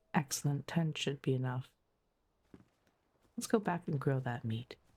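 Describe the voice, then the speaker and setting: At a moderate speed, the talking is soft-spoken. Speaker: streamer. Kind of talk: sleep gameplay commentary.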